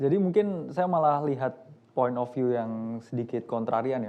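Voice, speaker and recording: The tone is dark and mellow, and the pace is fairly quick. Pitch variation is ordinary. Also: man. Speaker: investment expert on a panel. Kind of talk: panel discussion. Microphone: microphone just switched on, may be quiet.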